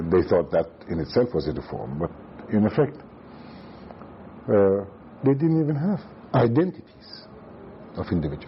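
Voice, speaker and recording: A man talks at a fairly quick pace with very wide pitch swings, and noticeable background noise can be heard. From Iran, Tehran. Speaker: former central banker and economist. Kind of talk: oral history interview. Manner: halting.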